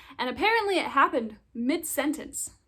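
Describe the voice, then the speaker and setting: A woman with an American accent, lively intonation and a moderate pace, in a very clean recording with a silent background. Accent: American, British accent gone. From England. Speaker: vlogger. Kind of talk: casual chat.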